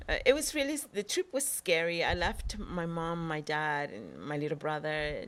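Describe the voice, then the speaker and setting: A woman with a Spanish accent, fairly low in pitch, with lively intonation, on a very clean recording against a silent background. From El Salvador. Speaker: actress. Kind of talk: interview.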